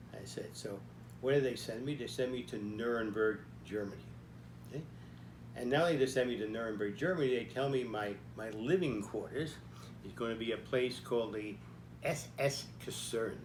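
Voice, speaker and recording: A man speaks at a moderate pace and medium pitch with vocal fry and ordinary pitch variation, leaving long, frequent pauses, and audible room echo surrounds him. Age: 90s. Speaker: army veteran telling life story. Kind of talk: personal storytelling talk. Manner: halting, with frequent fillers.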